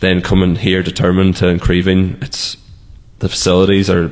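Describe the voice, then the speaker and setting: With noticeable background noise behind him, a man speaks at a moderate pace in a very deep, low voice. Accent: Donegal. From Letterkenny, Donegal, Ireland. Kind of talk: interview.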